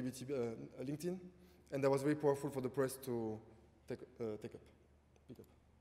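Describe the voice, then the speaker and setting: Speaking at a fairly quick pace, a man with a fairly high voice talks in a strong French accent. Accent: French, thick. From France. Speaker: entrepreneur. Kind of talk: panel talk.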